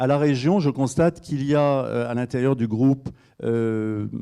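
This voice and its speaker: This man's voice sits at a medium pitch with a dark, mellow tone and ordinary variation in pitch. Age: 60s. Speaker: regional politician. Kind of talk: panel debate. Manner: halting, many hesitations.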